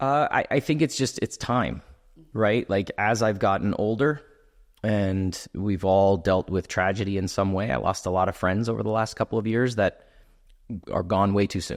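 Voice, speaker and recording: In a very clean recording with a silent background, a man with a normal speaking voice talks at a moderate pace, fairly low in pitch with ordinary pitch variation. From Canada. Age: 40s. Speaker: entertainer and actor. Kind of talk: podcast interview.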